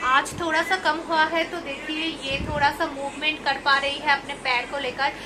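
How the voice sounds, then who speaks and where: Speaking in a raised, projected voice with a Bengali accent, a woman talks with hardly any pauses at a high pitch and in a monotone, flat intonation over noticeable background noise. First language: Bengali (speaking Hindi). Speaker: family vlogger. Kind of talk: casual vlog talk to camera.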